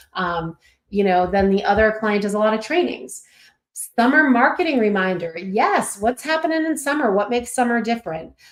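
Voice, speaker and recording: At a moderate pace, a woman speaks with a fairly high pitch. Her pitch swings very widely. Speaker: email marketing trainer. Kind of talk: webinar training. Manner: halting, many fillers; warm, upbeat.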